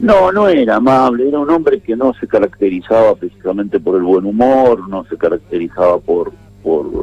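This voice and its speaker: The recording sounds dry and close, free of any echo. A man talks at a moderate pace. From Argentina, northern Santa Cruz (Patagonia). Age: 60s. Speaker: former politician. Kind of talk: radio interview. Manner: hesitant, with fillers.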